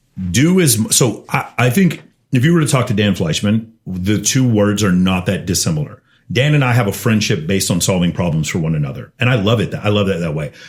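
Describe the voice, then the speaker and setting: A man speaks in an animated tone at a fairly quick pace, his fairly low voice making very wide pitch swings. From Texas, Austin. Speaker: podcast guest, CEO and dating coach. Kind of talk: casual podcast interview. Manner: fast.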